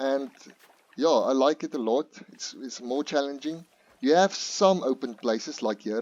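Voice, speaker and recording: A man with a non-native accent speaks at a moderate pace. His pitch is fairly high, with ordinary pitch variation. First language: not English. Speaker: gaming youtuber. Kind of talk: gameplay tutorial. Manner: halting, many fillers.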